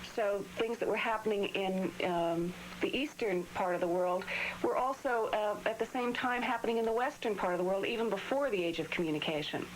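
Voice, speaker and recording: A woman at medium pitch with ordinary pitch variation and a fairly quick pace, over noticeable background noise. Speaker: astrologer. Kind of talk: call-in astrology readings. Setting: TV/radio studio. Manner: halting, some stuttering.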